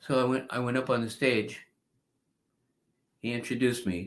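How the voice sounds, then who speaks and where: A bright, sharp tone with a New York accent, at a moderate pace, on a very clean recording with a silent background. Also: man. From New York (Bronx, Long Island). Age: 70s. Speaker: spiritual teacher and devotee. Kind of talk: interview storytelling. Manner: animated.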